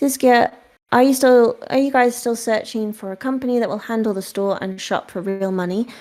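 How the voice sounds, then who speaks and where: Speaking at a fairly quick pace with ordinary pitch variation, a woman with a British accent is heard on a very clean recording with a silent background. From UK. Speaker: game company marketing staff. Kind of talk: live Q&A session. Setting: Discord voice chat.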